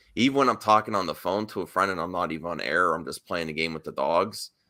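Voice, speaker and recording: A man speaks loudly at a fairly quick pace with a bright, sharp tone and ordinary pitch variation. The recording is very clean, with a silent background. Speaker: YouTube show host. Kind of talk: casual chat.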